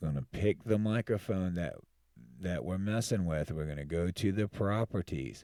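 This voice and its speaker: On a very clean recording with a silent background, a man with a very deep, low pitch speaks at a fairly slow pace, the sound dry and close with no echo. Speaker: tech tutorial youtuber. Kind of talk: tutorial. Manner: casual, with false starts; loud. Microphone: dynamic mic close to mouth.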